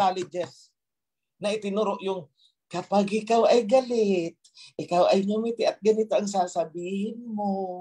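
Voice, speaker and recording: A man speaks in a high voice with a dark, mellow tone. His intonation is fairly even. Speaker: religious leader. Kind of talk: sermon. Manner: stern, forceful.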